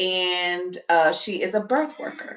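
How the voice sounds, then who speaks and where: A woman speaks with a Southern US accent at a medium pitch. Her pitch varies in an ordinary way. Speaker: spiritual livestream host. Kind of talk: casual livestream talk. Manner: animated.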